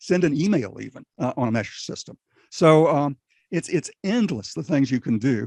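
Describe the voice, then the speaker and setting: A man with a fairly high pitch speaks with vocal fry and very wide pitch swings, in a dry, close sound with no echo. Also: moderate pace. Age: 80s+. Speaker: ham radio operator and preparedness guest. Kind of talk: casual interview chat. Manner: halting, many fillers.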